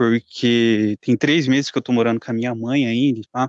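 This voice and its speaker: Against a quiet background, a man speaks in a monotone, flat way at a moderate pace with a dry, close sound and no echo. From Curitiba, southern Brazil. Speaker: guest, warehouse worker. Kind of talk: casual chat.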